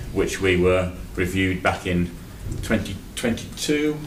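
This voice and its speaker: Over noticeable background noise and audible room echo, a man talks with a very deep, low pitch and lively intonation. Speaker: internal auditor. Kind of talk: committee meeting report. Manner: loud.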